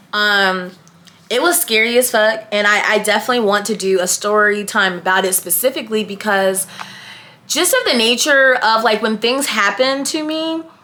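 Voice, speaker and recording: A woman's fairly high-pitched voice with lively intonation at a moderate pace, over noticeable background noise. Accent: American. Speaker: YouTuber. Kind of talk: casual vlog chat. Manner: matter-of-fact.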